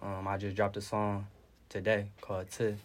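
A man speaks with a monotone, flat intonation. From Detroit. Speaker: rapper. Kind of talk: interview answers.

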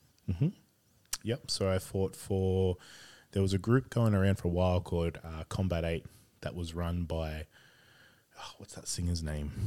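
A man's very deep, low voice, fairly even in intonation, with long, frequent pauses. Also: moderate pace. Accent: Australian. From Sydney, Australia. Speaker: game store owner, former MMA fighter. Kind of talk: casual chat.

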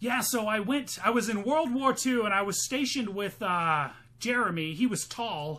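A man projects a raised, high-pitched voice at a moderate pace. His tone is animated, bright and sharp, with lively intonation. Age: 30s. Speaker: podcast co-host and comedian. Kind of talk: casual comedic chat, movie podcast. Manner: joking, profane, animated.

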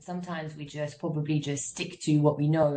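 The woman talks at a very fast pace. Her tone is dark and mellow, and somewhat breathy. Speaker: moderator. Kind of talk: panel moderation. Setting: video call.

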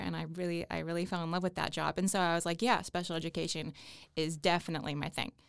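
In a very clean recording with a silent background, a woman uses an ordinary speaking voice, fairly low in pitch, talking fairly quickly with fairly even intonation. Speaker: college student. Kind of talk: casual chat.

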